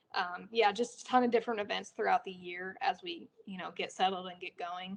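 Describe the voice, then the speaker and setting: A woman with an American accent and an unremarkable speaking voice, medium in pitch, fairly quick in pace, fairly even in intonation, with big swings in loudness. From California. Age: 20s. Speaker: retired BMX racer. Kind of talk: interview. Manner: casual, conversational.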